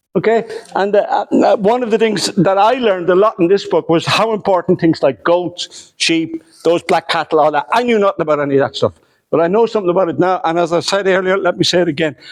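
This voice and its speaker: A man talks at a very fast pace in a high pitch. His loudness stays very even. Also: ordinary pitch variation, dry, close sound with no echo. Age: 60s. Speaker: historian. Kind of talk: lecture. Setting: hotel lecture room with audience. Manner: conversational with hesitations.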